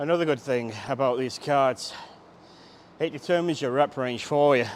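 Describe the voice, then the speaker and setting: A man talks at a medium pitch. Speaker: fitness trainer. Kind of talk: workout tutorial. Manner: loud.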